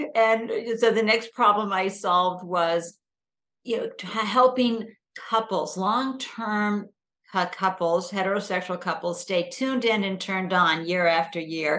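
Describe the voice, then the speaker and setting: A woman's bright, sharp voice with an American accent, medium in pitch, ordinary in pitch variation, at a fairly slow pace. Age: 60s. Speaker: entrepreneur and startup mentor. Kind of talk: interview. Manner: animated.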